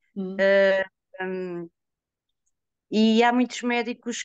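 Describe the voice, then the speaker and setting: A woman's medium-pitched voice with fairly even intonation, in a dry sound with no echo against a quiet background. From born outside Portugal, raised in Trás-os-Montes. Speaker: patient giving testimony. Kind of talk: testimony. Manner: halting, many hesitations. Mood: earnest, emotional at times. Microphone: video call.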